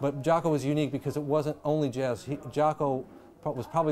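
A man talks at a fairly quick pace. Light background noise sits under his voice. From US Midwest (Dayton, Ohio); Ohio. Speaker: jazz bass player; interviewee. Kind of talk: interview. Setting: filmed interview. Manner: halting, many repetitions. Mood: calm, reflective. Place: bar. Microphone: lapel.

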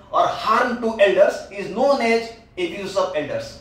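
A man with high pitch speaks amid audible room echo. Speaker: teacher. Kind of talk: lecture. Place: home room.

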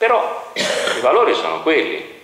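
A bright, sharp tone in strong room echo. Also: man.

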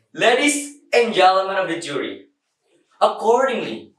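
Audible room echo surrounds the voice. A man speaks at a fairly slow pace. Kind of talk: contest speech. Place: empty room.

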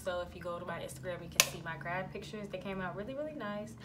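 A woman speaks over music in the background. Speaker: beauty vlogger. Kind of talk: casual vlog chat. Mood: relaxed, reflective. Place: home room. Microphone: phone near.

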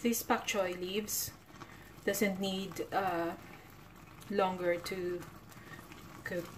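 A woman's very slow, monotone, flat delivery with long, frequent pauses and noticeable background noise. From Philippines. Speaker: vlogger. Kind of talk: cooking vlog narration.

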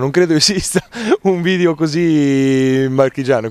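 Music plays in the background while a man talks with a fairly high pitch and ordinary pitch variation. The sound is dry, with no echo. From Marche, Italy. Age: 20s. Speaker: social media comedian and actor. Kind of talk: interview answer. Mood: calm, pleased. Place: garden. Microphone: handheld.

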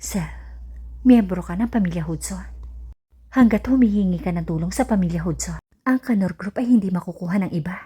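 This woman talks at a fairly quick pace, with long, frequent pauses. Her medium-pitched voice has a dark, mellow tone and is somewhat breathy. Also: ordinary pitch variation. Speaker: storyteller narrator. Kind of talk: scripted narration.

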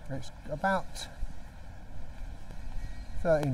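A man is speaking over light background noise. The sound is dry, with no echo. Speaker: walking tour vlogger. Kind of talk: casual vlog chat. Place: street. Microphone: phone near.

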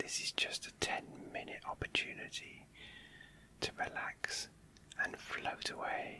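A man whispering at a fairly slow pace, with long, frequent pauses. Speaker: ASMR creator. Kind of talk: guided relaxation. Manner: whispered; gentle, soft-spoken. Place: home room. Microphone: studio mic.

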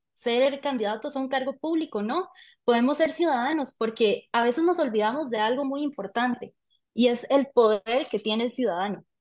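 A woman with a Costa Rican accent talks at a moderate pace in a high pitch with ordinary pitch variation, against a quiet background. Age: 20s. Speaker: journalist and vice-mayoral candidate; journalist, candidate. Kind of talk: interview. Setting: video call. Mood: friendly, smiling. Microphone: video call.

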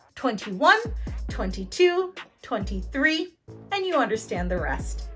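A woman speaks with an American accent at a fairly slow pace. Faint music plays in the background. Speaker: English as a second language teacher. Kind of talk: educational tutorial narration. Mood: friendly, upbeat. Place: home room. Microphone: lapel.

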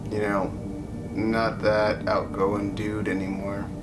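Loud background noise sits under a man's speech. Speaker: YouTuber. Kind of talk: casual talk to camera. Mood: reflective, subdued. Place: home room. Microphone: phone near.

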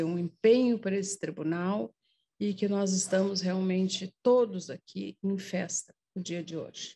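Somewhat breathy, with a dark, mellow tone, a woman speaks in a medium pitch with ordinary pitch variation at a moderate pace. Light background noise sits behind her. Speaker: judge. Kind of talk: ceremonial tribute speech. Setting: courtroom ceremony with audience. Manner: emotional, improvised. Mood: warm, heartfelt. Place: hall. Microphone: podium.

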